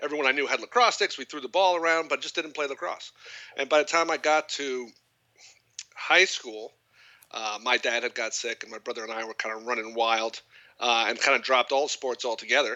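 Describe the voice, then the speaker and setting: Fairly quick and fairly high, a man with an American accent speaks in an unremarkable speaking voice with ordinary pitch variation. His loudness swings widely. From Long Island, New York. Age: 40s. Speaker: lacrosse coach.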